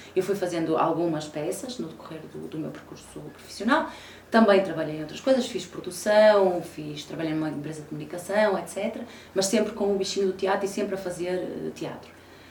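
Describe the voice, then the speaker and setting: Big swings in loudness mark this fairly quick delivery with ordinary pitch variation, audible room echo and noticeable background noise. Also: woman, medium pitch for a woman. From Portugal, Porto. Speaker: actress. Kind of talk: interview. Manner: frequent hesitation fillers.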